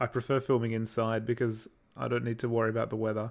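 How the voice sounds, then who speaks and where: A man speaks with an Australian accent. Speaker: YouTube creator doing visual effects for stop-motion videos. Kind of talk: livestream chat reading viewer comments. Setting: livestream at computer. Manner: casual, hesitant with fillers.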